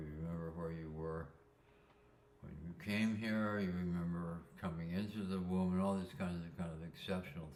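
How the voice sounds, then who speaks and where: With audible room echo, a man speaks at a very deep, low pitch in a monotone, flat intonation. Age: 80s+. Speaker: spiritual talker sharing life insights. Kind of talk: reflective monologue. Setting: sitting, solo recording. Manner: halting, many fillers; slow, ruminative.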